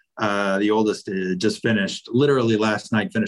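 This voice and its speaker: With an American accent, a man uses a normal speaking voice at a fairly low pitch and a moderate pace. His pitch variation is ordinary, and the sound is dry and close with no echo. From Virginia (Roanoke). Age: 40s. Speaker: lawyer. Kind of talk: casual chat.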